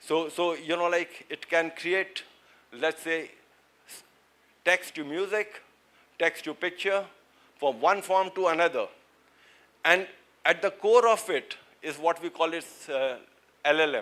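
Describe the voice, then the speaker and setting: Speaking with an Indian accent, a man uses a high pitch and a bright, sharp tone, with ordinary pitch variation, big swings in loudness, long, frequent pauses and a fairly slow pace. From India, Uttarakhand (Dehradun). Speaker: seminar speaker on supply chain and AI. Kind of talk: lecture. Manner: halting, many fillers and repetitions.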